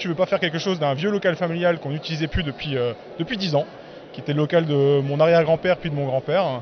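A man speaks in a high pitch with ordinary pitch variation. Noticeable background noise runs behind him. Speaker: craft brewer. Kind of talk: casual interview.

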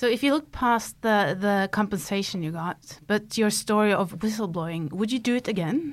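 Someone with a Norwegian accent speaks with lively intonation and hardly any pauses. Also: woman, medium pitch for a woman, moderate pace. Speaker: journalist, podcast host. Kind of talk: interview; scripted narration. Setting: studio.

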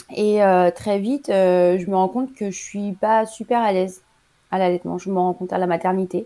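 Speaking at a fairly slow pace, a woman has a dark, mellow tone at a medium pitch. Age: 40s. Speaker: emergency nurse and mother of five. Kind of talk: interview, personal breastfeeding testimony.

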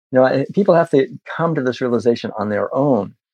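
Speaking in a plain, everyday voice, a man keeps a moderate pace with ordinary pitch variation in a dry, close sound with no echo. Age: 60s. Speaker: vegan activist and author. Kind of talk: interview conversation.

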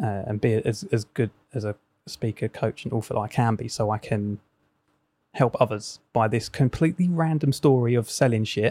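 A man with an English accent, somewhat breathy and dark, mellow in tone, at a moderate pace on a very clean recording with a silent background. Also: medium pitch for a man, ordinary pitch variation. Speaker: coach and former DJ. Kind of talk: casual chat.

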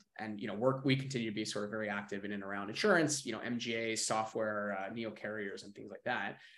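Amid audible room echo, a man with an American accent talks very fast at medium pitch with ordinary pitch variation. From New York area. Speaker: venture capital investor. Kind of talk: interview.

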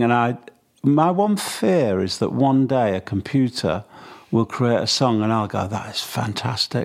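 Talking at a fairly slow pace, a man speaks with a Mancunian accent. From Manchester, England. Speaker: songwriter and record producer. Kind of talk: interview.

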